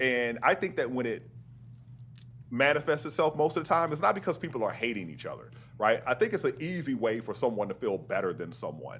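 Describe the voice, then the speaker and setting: Speaking with an American accent, a man at a medium pitch shows vocal fry and very wide pitch swings. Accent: Southern accent, deliberately toned down. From US South, Mississippi. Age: 50s. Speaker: astrophysicist and author. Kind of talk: interview conversation.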